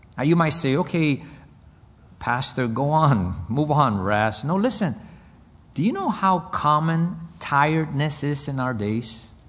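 A man speaks at a fairly slow pace with a fairly high, somewhat breathy voice. His intonation is lively, broken by long, frequent pauses. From Cuba, raised in US. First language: Spanish. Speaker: pastor. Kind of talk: sermon. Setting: men's conference.

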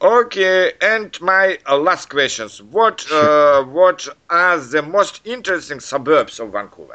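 Lively in intonation, a man with a Russian accent talks fairly slowly in a high voice. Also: hardly any pauses. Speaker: English learner interviewer. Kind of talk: casual chat. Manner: halting.

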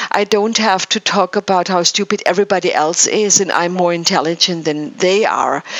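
Over noticeable background noise, a woman with a non-native accent speaks at a moderate pace and medium pitch, with fairly even intonation and very even loudness. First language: not English. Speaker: spiritual wellness show host. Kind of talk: casual chat. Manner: halting.

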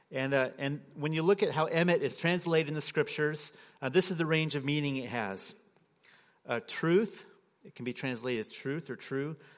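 A man speaks at a moderate pace in a normal speaking voice, fairly high in pitch with ordinary pitch variation, his loudness swinging widely against a quiet background. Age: 40s. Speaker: guest preacher. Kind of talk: sermon. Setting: church.

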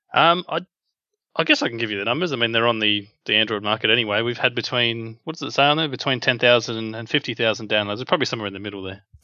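A man talks very fast with an Australian accent. His pitch sits in the medium range and varies in an ordinary way. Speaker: app developer. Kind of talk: interview.

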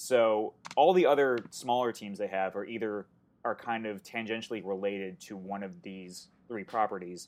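An unremarkable speaking voice, a man's, sits fairly low in pitch with fairly even intonation. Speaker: podcast panelist. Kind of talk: casual chat.

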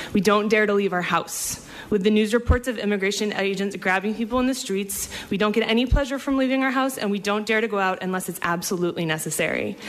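A woman talks very fast with ordinary pitch variation. There is noticeable background noise. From Maine. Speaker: community advocate. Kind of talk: reading aloud. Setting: legislative hearing room.

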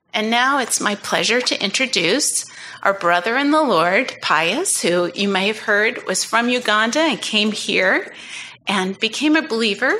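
In a normal speaking voice, a woman talks at a fairly slow pace with a fairly high pitch. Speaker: church ministry leader. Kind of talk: prayer.

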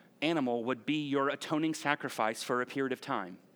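On a very clean recording with a silent background, a man with a plain, everyday voice speaks at a moderate pace and medium pitch with fairly even intonation. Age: 40s. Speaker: pastor. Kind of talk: sermon. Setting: church. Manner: conversational.

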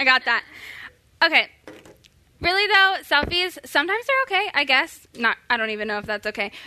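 With an American accent, a woman uses a raised, projected voice with a bright, sharp tone and high pitch, swinging very widely in pitch at a fairly quick pace but leaving long, frequent pauses. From Florida. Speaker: church social media resident. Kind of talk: church workshop talk.

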